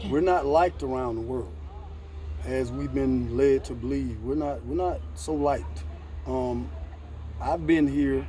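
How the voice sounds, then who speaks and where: With audible room echo, a man with a very deep, low pitch speaks at a fairly slow pace, taking long, frequent pauses, his pitch varying in an ordinary way. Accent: American. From USA. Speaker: vlogger. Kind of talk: casual interview.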